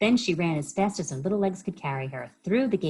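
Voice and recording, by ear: Someone reads aloud in a natural voice. The intonation is lively.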